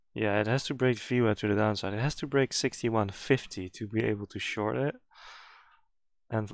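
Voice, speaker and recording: Over a silent background in a very clean recording, a man with a non-native accent speaks at a moderate pace, his fairly low voice showing ordinary pitch variation. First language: not English. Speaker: day trader. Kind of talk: live trading commentary.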